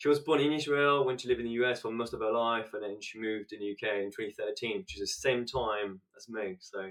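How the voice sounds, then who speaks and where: A man with a French accent speaks at a very fast pace, his loudness swinging widely. His medium pitch shows ordinary variation. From France, French Alps. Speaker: business scale-up specialist. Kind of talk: podcast interview.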